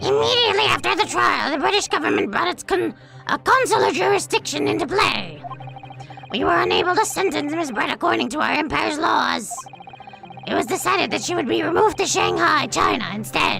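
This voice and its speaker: A strained, put-on character voice at a fairly quick pace over clear background noise. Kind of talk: exaggerated courtroom drama reading. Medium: virtual streamer. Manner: pompous, condescending.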